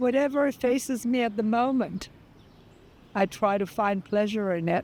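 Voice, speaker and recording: Quiet and very even in loudness, the voice moves at a moderate pace with ordinary pitch variation. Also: woman, fairly high pitch for a woman. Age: 70s. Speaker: interviewee. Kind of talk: interview. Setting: outdoors. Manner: calm, quiet.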